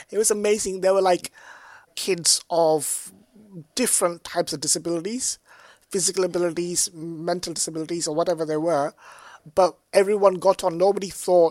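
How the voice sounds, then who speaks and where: This man has a high-pitched voice and a London accent. He talks at a moderate pace. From London, England. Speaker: artist and tech analyst. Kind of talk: casual chat.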